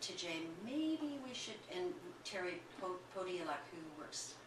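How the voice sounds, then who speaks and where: Audible echo from the room surrounds the voice. The pace is fairly slow, with lively intonation. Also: woman. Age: 60s. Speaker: dancer and festival producer. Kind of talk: casual chat. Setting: recorded sit-down interview.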